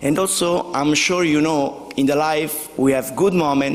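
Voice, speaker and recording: With noticeable background noise behind him, a man speaks with an Italian accent. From southern Italy, Basilicata. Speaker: company co-founder receiving award. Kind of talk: award acceptance speech.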